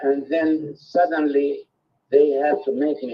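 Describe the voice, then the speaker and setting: The speaker has an Arabic accent. The pace is fairly slow. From Palestine. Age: 80s+. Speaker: peace activist. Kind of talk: testimony.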